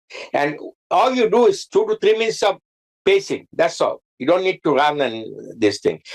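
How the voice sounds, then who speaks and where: A man with a Bengali accent, very even in loudness, in a dry, close sound without any echo. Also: moderate pace. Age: 80s+. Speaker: cardiologist. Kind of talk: health talk show interview. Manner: halting, with repetitions and fillers.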